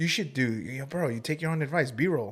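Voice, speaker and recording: Loud and fairly high-pitched, a man speaks with very wide pitch swings. The recording is very clean, with a silent background. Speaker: podcast guest and podcaster. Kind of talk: casual chat. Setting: podcast studio.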